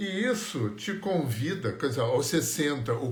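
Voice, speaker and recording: A somewhat breathy man at a fairly slow pace, with audible room echo. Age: 60s. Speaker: energy healing teacher. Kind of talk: live stream talk. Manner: conversational.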